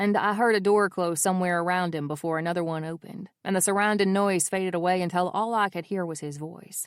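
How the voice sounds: The natural reading voice keeps its intonation fairly even.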